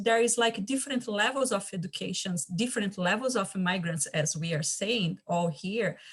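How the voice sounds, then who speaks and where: A woman's voice at a moderate pace, with lively intonation and a Portuguese accent. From Brazil. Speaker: community champion. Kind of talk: panel discussion. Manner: halting.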